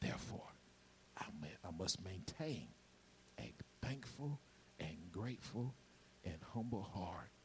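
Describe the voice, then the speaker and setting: Over audible room echo, a man with a medium pitch and vocal fry talks fairly slowly, his pitch swinging very widely. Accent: Georgia. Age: 50s. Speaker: pastor. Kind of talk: sermon.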